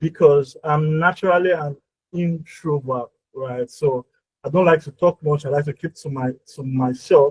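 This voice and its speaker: At a moderate pace, a man with a fairly high pitch and fairly even intonation sounds somewhat breathy, his loudness swinging widely in a dry, close recording with no echo. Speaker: workshop speaker. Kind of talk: presentation.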